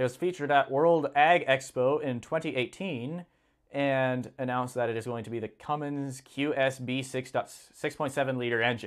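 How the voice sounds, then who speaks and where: A man's plain, everyday voice, medium in pitch, at a moderate pace with fairly even intonation. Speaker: livestream host reading farm news. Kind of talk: casual live stream, reading articles aloud with commentary.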